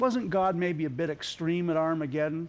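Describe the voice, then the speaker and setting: The pace of this man's speech is moderate. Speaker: TV guest. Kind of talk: interview answer. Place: studio.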